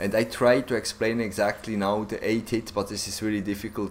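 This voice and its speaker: Speaking at a moderate pace with a non-native accent, the voice comes through noticeable background noise. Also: man. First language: not English. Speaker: gaming YouTuber. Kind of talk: gameplay tutorial. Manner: halting, many fillers; animated.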